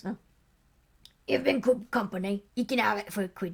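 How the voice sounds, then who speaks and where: Putting on a character voice, a woman speaks raspy and cackling at a medium pitch and moderate pace, with ordinary pitch variation. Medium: read story. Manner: sly, teasing, stubborn.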